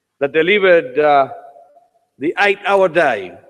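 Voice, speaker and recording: A man with a Uruguayan accent. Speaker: parliament speaker, politician. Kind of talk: welcome speech. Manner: formal.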